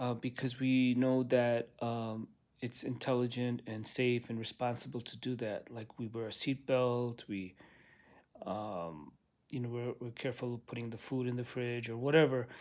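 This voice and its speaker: With fairly even intonation, a man talks in a pitch that sits in the middle of his range. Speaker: religious video blogger. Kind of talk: casual monologue. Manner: slow, halting.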